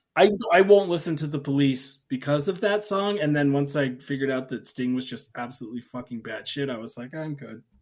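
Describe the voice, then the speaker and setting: A man speaks at a fairly quick pace with a fairly high pitch, lively intonation, hardly any pauses and big swings in loudness. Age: 30s. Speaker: podcast co-host. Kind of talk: casual chat. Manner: animated.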